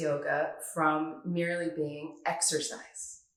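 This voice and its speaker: A woman in a Northern California accent at a very slow pace. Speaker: yoga teacher. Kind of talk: tutorial.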